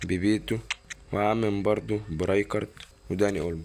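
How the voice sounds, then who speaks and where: A man speaks quietly with an Egyptian accent. His pitch is fairly low with ordinary variation. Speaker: gaming YouTuber. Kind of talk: gameplay commentary. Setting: at home, recording gameplay. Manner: quiet, lowered voice; animated.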